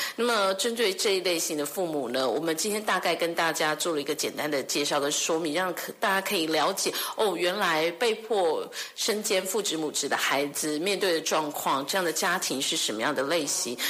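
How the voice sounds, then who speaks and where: Over noticeable background noise, a woman talks at a moderate pace with hardly any pauses, her fairly low pitch showing ordinary variation. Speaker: radio host. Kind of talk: radio interview.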